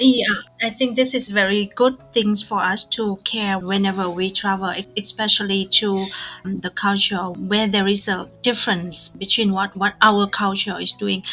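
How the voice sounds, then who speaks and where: In a Vietnamese accent, a woman speaks at medium pitch and a moderate pace with monotone, flat intonation. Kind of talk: casual podcast conversation.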